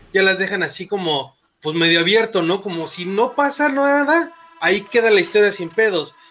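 This man speaks in a Mexican accent at a high pitch. His intonation is lively. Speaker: podcast host, film and series reviewer. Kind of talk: casual chat. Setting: live stream. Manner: casual.

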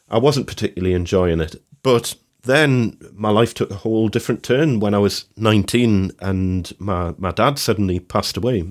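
A man speaks at a fairly low pitch and a moderate pace, with ordinary pitch variation and a normal speaking voice. The recording is very clean with a silent background. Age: 40s. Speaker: woodworker and podcast co-host. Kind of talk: casual chat.

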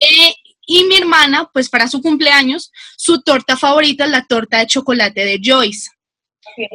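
A woman's high, raised and projected voice at a moderate pace, lively in intonation, with a dry, close sound and no echo. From Colombia, Bogotá. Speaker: occupational health and safety professional. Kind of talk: casual chat.

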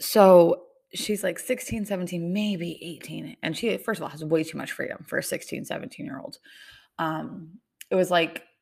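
The recording is very clean with a silent background as a woman speaks at a medium pitch in an animated tone. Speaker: podcast host and teacher. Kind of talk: casual solo podcast talk.

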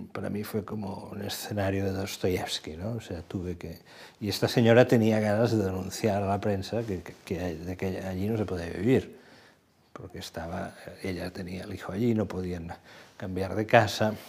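A man speaks in a plain, everyday voice with fairly low pitch and fairly even intonation. His loudness swings widely. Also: moderate pace. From Catalonia, Badalona. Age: 60s. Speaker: journalist. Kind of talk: long-form interview.

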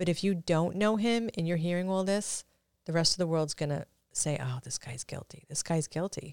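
With an American accent and a normal speaking voice, a woman talks at a moderate pace in a fairly low pitch with ordinary variation, the sound dry and close with no echo. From Brooklyn, New York. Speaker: author, guest. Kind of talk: casual interview. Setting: studio.

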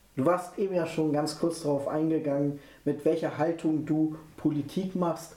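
In a room with audible echo, a man with a fairly high pitch and a dark, mellow tone talks at a moderate pace with fairly even intonation. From near Hannover, Germany. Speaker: podcast host. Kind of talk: interview.

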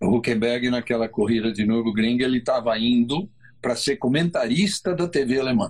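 A normal speaking voice moves at a moderate pace with lively intonation. Its loudness stays very even. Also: man, medium pitch for a man. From Brazil. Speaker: motorsport co-host. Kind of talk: casual chat.

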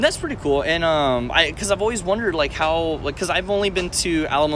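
Over noticeable background noise, a man with an American accent speaks at a fairly quick pace with ordinary pitch variation. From Texas, San Antonio. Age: 20s. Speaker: podcast host, aspiring actor and comedian. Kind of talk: casual chat. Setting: recorded on a tablet.

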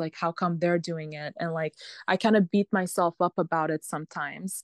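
A woman's fairly low, monotone voice with flat intonation, dry and close with no echo against a quiet background. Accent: American. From US, Lebanese family. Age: 20s. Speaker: pharmaceutical sales rep. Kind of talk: casual interview chat.

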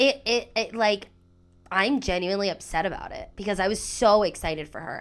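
A woman's normal speaking voice at medium pitch, with lively intonation and a moderate pace, on a very clean recording against a silent background. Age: 30s. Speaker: podcast co-host. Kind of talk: casual chat.

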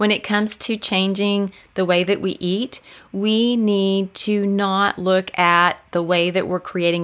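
An ordinary speaking voice from a woman, medium in pitch, at a fairly slow pace. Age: 50s. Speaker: podcast host and health coach. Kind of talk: practical tips talk.

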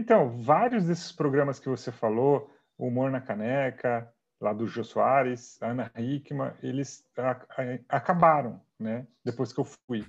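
A man speaks fairly slowly at a medium pitch with ordinary pitch variation against a quiet background. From Brazil, Sorocaba (São Paulo state). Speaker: comedian. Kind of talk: casual interview chat.

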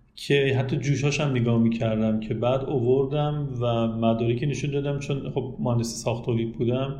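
A man with a dark, mellow, somewhat breathy tone speaks at a medium pitch and moderate pace. His intonation is fairly even, and audible room echo can be heard. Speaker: automotive inspection engineer and company manager. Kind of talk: interview.

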